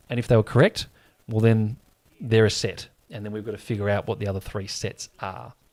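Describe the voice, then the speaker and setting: A man with an Australian accent speaks at a fairly low pitch and a fairly quick pace, with fairly even intonation but big swings in loudness. The recording is very clean, with a silent background. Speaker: sports livestream host. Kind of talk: live watch-along chat and quiz hosting. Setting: livestream. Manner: casual, chatty.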